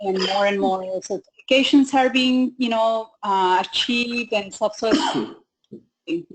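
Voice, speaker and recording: A woman speaks with a Spanish accent. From Mexico. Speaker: health coach. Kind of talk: webinar panel discussion.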